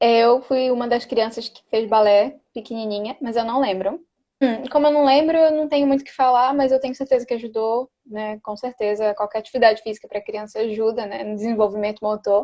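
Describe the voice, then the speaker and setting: A woman in a normal speaking voice talks at a fairly quick pace with hardly any pauses, her fairly high pitch held to fairly even intonation while her loudness swings widely. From Belém do Pará, northern Brazil. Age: 20s. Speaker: dancer and dance teacher. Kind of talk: casual interview.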